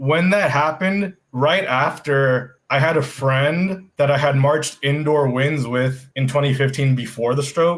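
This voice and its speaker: The voice moves at a fairly slow pace with hardly any pauses, very even loudness, ordinary pitch variation and a somewhat breathy sound. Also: man. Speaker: drum corps tuba player and band teacher. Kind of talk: casual chat. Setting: podcast. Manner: halting.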